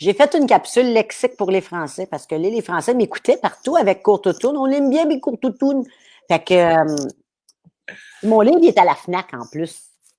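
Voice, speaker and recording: A woman with a Quebec accent speaks in a dark, mellow tone with very wide pitch swings, on a very clean recording with a silent background. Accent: regional Quebec French. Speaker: comedian. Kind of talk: casual chat. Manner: animated; fast.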